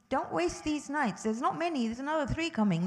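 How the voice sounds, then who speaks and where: Her tone animated and her pitch swinging very widely, a woman speaks at a fairly quick pace. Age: 60s. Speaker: religious teacher for children and parents. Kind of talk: religious teaching talk to families.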